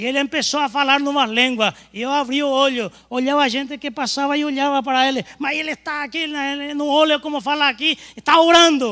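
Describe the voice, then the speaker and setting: Projecting loudly, a man talks fairly quickly in an extremely high pitch with a bright, sharp tone. The recording is very clean, with a silent background. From Paraguay. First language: Spanish (speaking Portuguese). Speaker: pastor. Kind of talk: sermon. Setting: church.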